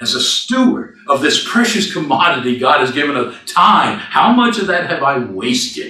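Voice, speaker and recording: Speech at a fairly slow pace swings very widely in pitch, with music in the background. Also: man. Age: 60s. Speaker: minister. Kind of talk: sermon. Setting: church.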